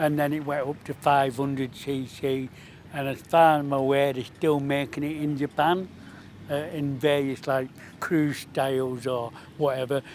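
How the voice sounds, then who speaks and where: A man talks in a monotone with flat intonation. His pitch sits fairly high. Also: moderate pace. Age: 60s. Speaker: vintage motorbike owner. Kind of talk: casual interview at a show.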